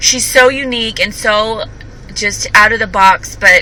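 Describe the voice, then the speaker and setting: A woman's voice over noticeable background noise. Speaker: vlogger. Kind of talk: casual vlog monologue. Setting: in a car. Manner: halting.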